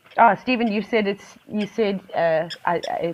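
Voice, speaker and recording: A woman's fairly slow, lively-toned speech over noticeable background noise. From South Africa, Eastern Cape. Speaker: wildlife safari live-stream presenter. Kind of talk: live wildlife commentary. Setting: live stream. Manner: chatty, conversational.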